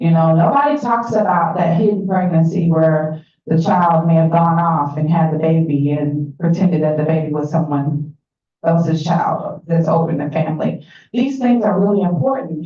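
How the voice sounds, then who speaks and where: An American accent shapes this woman's somewhat breathy, fairly low-pitched voice with a dark, mellow tone. There is audible room echo. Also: ordinary pitch variation, moderate pace. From Atlanta, Georgia, US South. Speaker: workshop facilitator. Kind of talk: interactive workshop presentation. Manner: conversational, engaging audience.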